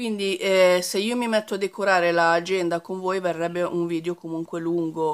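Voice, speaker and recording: The speech runs at a moderate pace with monotone, flat intonation. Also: woman. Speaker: craft vlogger. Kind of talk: casual vlog chat. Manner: halting with many fillers.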